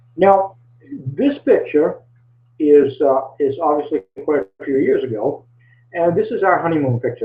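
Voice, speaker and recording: At a moderate pace, the speaker talks with a Maine accent. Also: man. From Maine, US. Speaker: small business coach. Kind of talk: webinar presentation. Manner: halting, many fillers and repeats.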